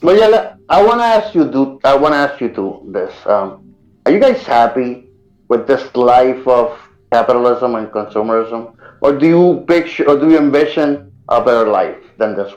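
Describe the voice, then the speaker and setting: A man with a non-native accent, fairly high in pitch, at a moderate pace with very wide pitch swings. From outside the US. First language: not English. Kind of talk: casual chat.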